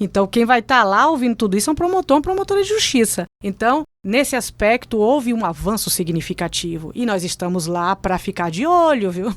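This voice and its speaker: A woman with a Bahian accent talks at a fairly quick pace with hardly any pauses, her fairly high voice animated in tone and marked by very wide pitch swings, in dry, close sound with no echo. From Bahia, Brazil. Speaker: public prosecutor. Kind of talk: interview.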